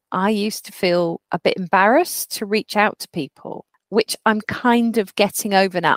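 In a dry, close recording with no echo, a woman with an ordinary speaking voice and medium pitch talks at a moderate pace with hardly any pauses. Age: 40s. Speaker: podcast co-host. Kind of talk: casual chat.

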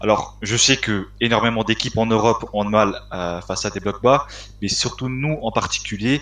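In a normal speaking voice, a man talks at a fairly slow pace with a fairly low pitch. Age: 20s. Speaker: football fan page administrator. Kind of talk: casual chat.

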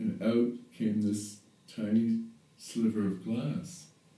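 A man's dark, mellow voice at a very slow pace, with ordinary pitch variation and audible room echo. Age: 50s. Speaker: yoga teacher and therapist. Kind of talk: spiritual monologue. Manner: halting.

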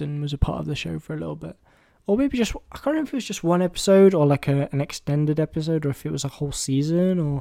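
Someone with an English accent speaks at a very fast pace. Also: man. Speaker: film podcast host. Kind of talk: casual monologue. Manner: hesitant, many fillers.

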